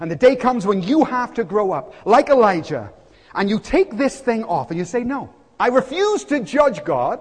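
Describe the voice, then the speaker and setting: Extremely high-pitched, a man speaks in an animated tone with very wide pitch swings. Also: moderate pace. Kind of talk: sermon. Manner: animated, punchy, with humorous asides; earnest, urgent, exhorting the congregation.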